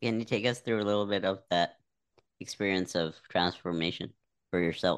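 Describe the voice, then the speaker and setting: A plain, everyday voice keeps very even loudness and fairly even intonation at a moderate pace. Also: man, fairly low pitch for a man. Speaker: podcast host. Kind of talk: interview, casual chat.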